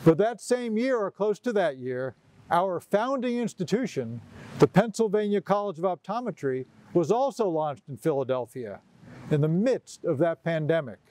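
A man's dark, mellow voice with very wide pitch swings, a moderate pace and a dry sound with no echo. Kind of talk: commencement speech. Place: garden.

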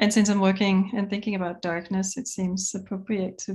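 A woman speaks in a monotone, flat intonation, somewhat breathy. The background is quiet. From Denmark. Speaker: multimedia artist. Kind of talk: artist talk presentation. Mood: calm, reflective. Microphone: video call.

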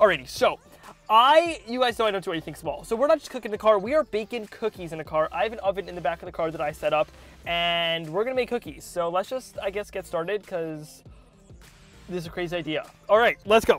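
A man speaks at a very fast pace, his loudness rising and falling sharply. The sound is dry with no echo, and faint music plays in the background. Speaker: cooking video host. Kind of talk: casual vlog chat. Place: car. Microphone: lapel.

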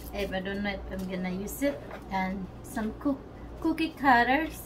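A woman's voice over loud background noise. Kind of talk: casual tutorial chat. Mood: relaxed, laughing. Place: home room.

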